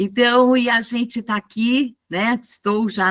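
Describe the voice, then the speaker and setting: A woman is speaking. Her pace is very slow. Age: 70s. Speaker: educator. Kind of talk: online panel discussion.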